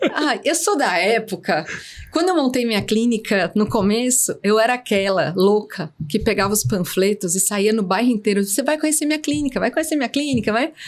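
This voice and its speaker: Speaking at a fairly quick pace, a woman with a fairly high pitch uses lively intonation and keeps her loudness very even. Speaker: veterinarian and entrepreneur. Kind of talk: interview.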